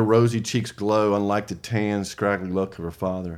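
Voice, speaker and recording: Recorded very cleanly against a silent background, a man with a Southern US accent speaks at a moderate pace and fairly low pitch with monotone, flat intonation. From US South. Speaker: small press co-founder and author. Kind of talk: casual interview chat.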